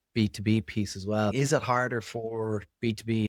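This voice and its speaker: An Irish accent on a very clean recording with a silent background, the sound dry and close with no echo. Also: man. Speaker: podcast host. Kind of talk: podcast interview.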